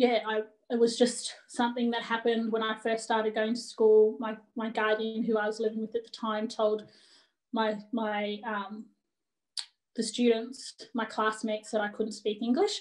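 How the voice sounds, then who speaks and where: In an Australian accent, a woman speaks at a fairly high pitch with monotone, flat intonation. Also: moderate pace. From Australia, Bendigo, Victoria. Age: 30s. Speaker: cultural awareness advocate. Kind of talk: personal talk at a panel session.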